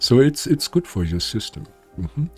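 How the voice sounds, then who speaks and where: Background music plays throughout. A man's speech moves at a moderate pace. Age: 70s. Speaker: spiritual healer. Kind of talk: casual talk to camera. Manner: hesitant, many fillers.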